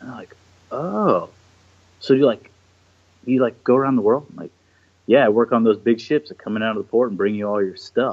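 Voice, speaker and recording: Speaking at a fairly quick pace with long, frequent pauses, a man with a medium pitch shows big swings in loudness and ordinary pitch variation. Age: 30s. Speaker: ship captain. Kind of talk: casual chat. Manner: animated.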